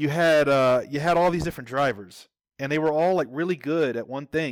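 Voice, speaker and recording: A man talks in a normal speaking voice with a fairly high pitch and ordinary pitch variation. The recording is very clean, with a silent background. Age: 40s. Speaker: entrepreneur. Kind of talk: casual chat.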